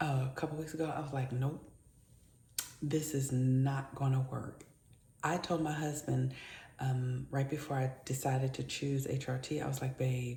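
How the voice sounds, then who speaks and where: At a moderate pace, a woman speaks with a very deep, low pitch and a dark, mellow, somewhat breathy tone. Her intonation is monotone and flat, and room echo is audible. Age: 50s. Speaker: lifestyle vlogger. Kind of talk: casual vlog monologue. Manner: speaking low; halting.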